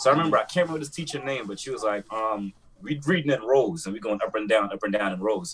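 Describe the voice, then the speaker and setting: A man talks at a very fast pace in a strong Jamaican accent, his intonation lively. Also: medium pitch for a man. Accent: heavy Jamaican. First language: Jamaican Creole. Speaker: podcast co-host. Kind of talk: casual chat.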